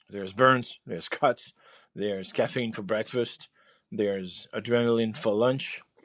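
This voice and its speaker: The speaker has a French accent and a fairly slow pace. Intonation stays fairly even while the loudness swings widely. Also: man, medium pitch for a man. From France. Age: 50s. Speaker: chef and podcast host. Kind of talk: podcast monologue. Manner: halting, many fillers and repeats.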